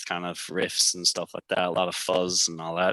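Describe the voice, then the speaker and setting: With an American accent, a man speaks at a moderate pace in a very deep, low voice with a bright, sharp tone, recorded dry and close with no echo. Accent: Irish, sometimes sounds American. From Ireland, Tipperary. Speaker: rock band guitarist. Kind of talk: casual chat.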